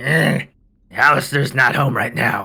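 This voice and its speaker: A man does a raspy, put-on character voice at a medium pitch. He speaks at a fairly slow pace. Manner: dismissive, casual.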